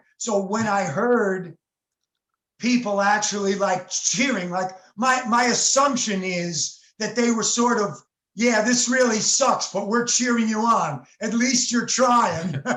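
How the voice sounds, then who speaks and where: With an American accent and a high pitch, a man speaks very slowly with ordinary pitch variation. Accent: New York Italian. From New York. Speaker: session saxophone player. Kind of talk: interview.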